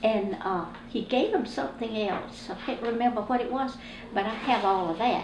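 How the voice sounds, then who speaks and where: A woman with a South Carolina accent at a fairly high pitch, moderate pace and ordinary pitch variation, amid noticeable background noise and audible room echo. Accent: US Southern (South Carolina). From South Carolina, Columbia. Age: 80s+. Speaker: oral history interviewee. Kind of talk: oral history interview.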